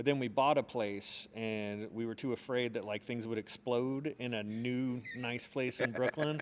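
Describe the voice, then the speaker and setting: With an American accent and an ordinary speaking voice, this speaker moves at a fairly slow pace with hardly any pauses and fairly even intonation. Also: man, medium pitch for a man. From US South, Charlotte, North Carolina. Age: 40s. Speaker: arts marketing director and urban development advocate. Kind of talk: casual interview chat. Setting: on location in a museum.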